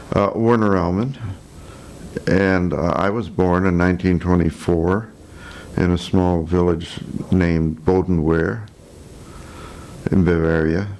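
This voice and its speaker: A man with a very deep, low pitch talks at a fairly slow pace with long, frequent pauses and fairly even intonation. His loudness stays very even, and room echo is audible. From Chicago, US Midwest. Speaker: war veteran. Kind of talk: oral history interview. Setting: filmed interview.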